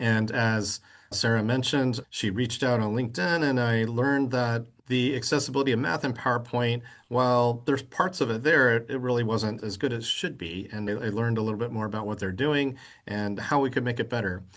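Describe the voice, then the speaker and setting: In a plain, everyday voice, a man speaks at a medium pitch and a fairly quick pace with ordinary pitch variation. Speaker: software engineer. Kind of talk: seminar presentation.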